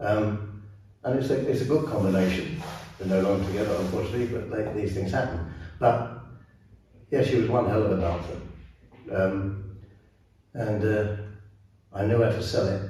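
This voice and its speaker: Speech in an English accent at a moderate pace, with ordinary pitch variation, long, frequent pauses, audible room echo and noticeable background noise. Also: man, fairly low pitch for a man. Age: 80s+. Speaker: ballroom dance teacher and former competitor. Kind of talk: interview. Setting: dance studio. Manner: halting.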